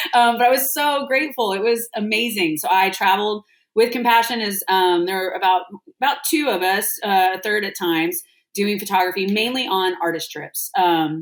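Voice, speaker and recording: A woman with an American accent speaks in an ordinary speaking voice at medium pitch, with lively intonation and a moderate pace. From Texas. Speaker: restaurant founder and nonprofit artist relations leader. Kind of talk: podcast interview. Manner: casual, many filler words.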